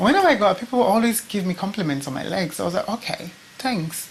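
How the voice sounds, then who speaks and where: A woman with lively intonation talks at a fairly quick pace as noticeable background noise continues. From Nigeria. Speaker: beauty pageant contestant. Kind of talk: interview testimony.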